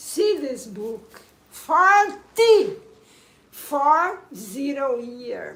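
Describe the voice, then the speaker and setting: A woman speaks very slowly at a high pitch, with a non-native accent and very wide pitch swings. Room echo is audible. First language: Portuguese. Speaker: spiritual coach. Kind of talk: livestream monologue. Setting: live stream on camera. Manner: emphatic.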